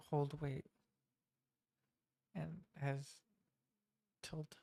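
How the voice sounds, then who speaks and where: Soft-spoken, this speaker goes along at a very slow pace. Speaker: game developer streamer. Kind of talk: casual live-stream commentary. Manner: halting. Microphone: mic turned up, quiet level.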